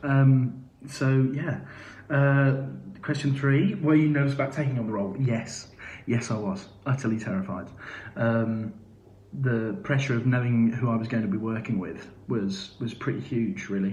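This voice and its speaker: Somewhat breathy, a man talks at medium pitch with ordinary pitch variation and a moderate pace. Audible room echo surrounds the voice. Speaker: musical theatre actor. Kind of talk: live Q&A. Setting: live video stream. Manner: hesitant, many fillers.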